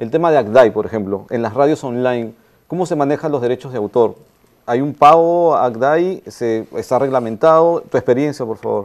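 With a quiet background behind him, the man talks at a moderate speed, his pitch varying in an ordinary way. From Peru. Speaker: event moderator. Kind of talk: moderated interview. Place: stage. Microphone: lapel.

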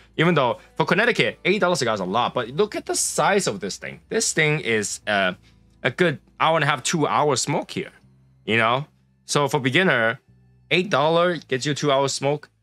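A man speaks at a fairly slow pace while faint music plays in the background. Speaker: cigar reviewer. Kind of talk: casual review commentary. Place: home room.

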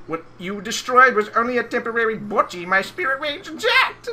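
The speaker puts on a character voice. The pitch sits fairly high. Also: moderate pace. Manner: menacing, bitchy.

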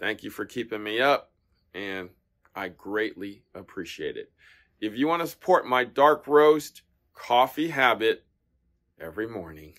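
A man at a fairly slow pace, big swings in loudness, long, frequent pauses, quiet background. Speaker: tennis shop owner reviewer. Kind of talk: casual product review vlog. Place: shop. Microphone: phone near.

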